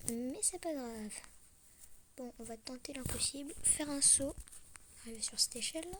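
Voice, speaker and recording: Long pauses come often while the talking holds a medium speed. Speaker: gaming youtuber. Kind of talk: casual gameplay commentary. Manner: hesitant, many fillers.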